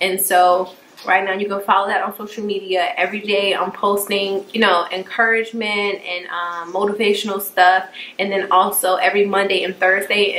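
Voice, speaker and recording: A woman speaks at a fairly quick pace, and noticeable background noise is present. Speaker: YouTuber. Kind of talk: casual chat.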